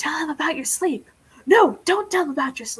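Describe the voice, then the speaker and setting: A put-on character voice whispers at a fairly quick pace. Its loudness swings widely. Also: woman. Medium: game stream. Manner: whispering, gossipy.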